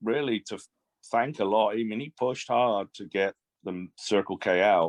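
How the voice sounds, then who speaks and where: Over a quiet background, a man talks at a moderate pace with an English accent, the sound dry and close with no echo. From England, Swindon. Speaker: shop owner. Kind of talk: casual chat.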